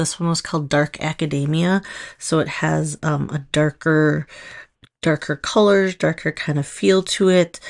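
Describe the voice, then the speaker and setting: Over a quiet background, a woman speaks with a Minnesotan accent. Her pitch is very deep and low, and her pace fairly slow. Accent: Minnesota. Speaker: nail polish stylist, video creator. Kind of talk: casual tutorial. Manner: casual, hesitant with fillers.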